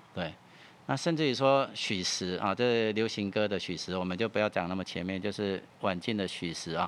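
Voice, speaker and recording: Speaking at a fairly quick pace, a man uses an unremarkable speaking voice, fairly low in pitch, with ordinary pitch variation. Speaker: music archive director. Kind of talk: interview. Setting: studio.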